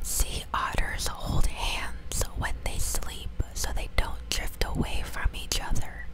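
A woman whispering at a very slow pace with hardly any pauses. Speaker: ASMR creator. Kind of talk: ASMR fact reading. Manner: whispered; soft, close to the microphone. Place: home room. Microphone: lapel.

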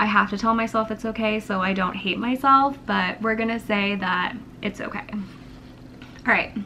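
A woman speaks at a fairly slow pace with a fairly high pitch and fairly even intonation, over light background noise. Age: 20s. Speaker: YouTuber. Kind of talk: casual vlog monologue. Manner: rambling, unedited. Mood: candid, reflective personal talk. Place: home room. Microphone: camera far.

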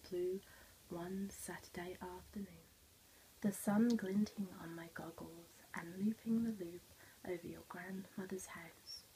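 Soft-spoken and at a fairly slow pace, the voice sits over light background noise. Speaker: teacher or storyteller. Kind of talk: story read-aloud to children. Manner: soft, quiet ASMR storytelling voice. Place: classroom. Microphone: phone near.

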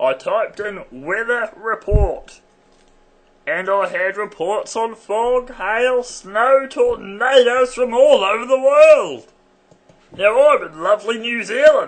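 A man puts on a character voice with extremely high pitch, speaking at a fairly slow pace. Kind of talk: comic satirical monologue.

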